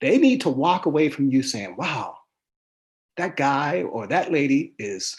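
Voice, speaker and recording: Against a quiet background, a man with an American accent talks at a fairly high pitch. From Pittsburgh, Pennsylvania, US. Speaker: sports columnist. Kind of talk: interview. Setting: live stream.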